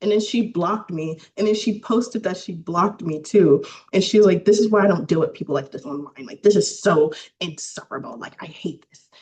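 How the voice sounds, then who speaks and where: A somewhat breathy woman at a fairly quick pace, with lively intonation and big swings in loudness. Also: medium pitch for a woman. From US South, Louisiana. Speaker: filmmaker. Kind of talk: casual interview chat.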